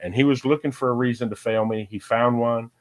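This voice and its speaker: An ordinary speaking voice with an American accent and fairly even intonation. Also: man. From Ohio, US Midwest. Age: 60s. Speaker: fishing guide. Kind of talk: casual chat.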